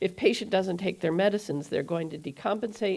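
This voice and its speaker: Recorded very cleanly with a silent background, a woman at medium pitch uses ordinary pitch variation in an unremarkable speaking voice. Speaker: cardiologist speaker at medical conference. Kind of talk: conference lecture.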